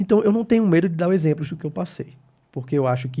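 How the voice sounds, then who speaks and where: Talking very fast, a man sounds somewhat breathy, his tone dark and mellow. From Brazil, Natal (Rio Grande do Norte, Northeast). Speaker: geriatrician. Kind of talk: interview.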